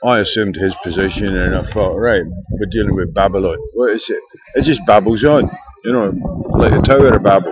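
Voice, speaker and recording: Over noticeable background noise, a man talks at a fairly quick pace, his pitch fairly low with ordinary variation. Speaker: video diarist. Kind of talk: casual talk to camera.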